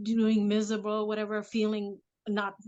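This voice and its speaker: A woman with a fairly high pitch speaks at a fairly slow pace in a Vietnamese accent. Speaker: mother and affirmation speaker. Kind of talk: casual interview chat.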